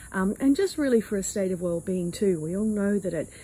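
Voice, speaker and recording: This woman has a dark, mellow tone. Her voice sounds somewhat breathy. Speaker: spiritual channeler. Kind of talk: personal reflection talk. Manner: halting, with fillers.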